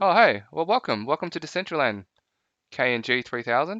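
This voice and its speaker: A man speaks with an Australian accent. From Melbourne, Australia. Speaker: live streamer in virtual world. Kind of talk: casual live-stream chat.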